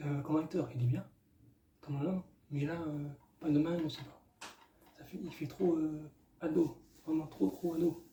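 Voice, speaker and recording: The tone is dark and mellow, with fairly even intonation and big swings in loudness. Delivery is fairly slow, broken by long, frequent pauses. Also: man, fairly high pitch for a man. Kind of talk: casual movie review to camera. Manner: hesitant, many filler sounds.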